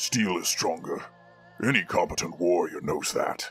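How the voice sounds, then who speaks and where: A man puts on a raspy character voice while faint music plays in the background. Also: moderate pace. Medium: read story.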